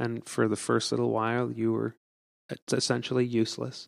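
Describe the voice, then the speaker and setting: The voice, with a Canadian accent, sounds dry and close with no echo. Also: man. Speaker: pastor. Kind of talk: casual chat. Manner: animated.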